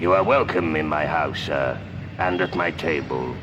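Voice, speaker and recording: Against loud background noise, a man puts on a character voice with a very deep, low pitch at a moderate pace. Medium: stage play. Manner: gentle, courteous.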